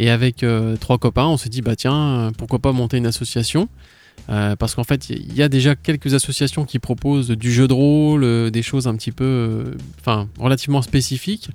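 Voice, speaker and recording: Heard here is a normal speaking voice at a moderate pace with ordinary pitch variation. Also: man. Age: 30s. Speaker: gaming association president. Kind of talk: casual chat. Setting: studio.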